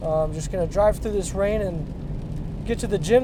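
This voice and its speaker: Over noticeable background noise and audible room echo, a man with a high pitch talks at a fairly slow pace with fairly even intonation. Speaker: paraplegic bodybuilder vlogger. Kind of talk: casual vlog monologue. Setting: in a car. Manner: conversational, hesitant with fillers.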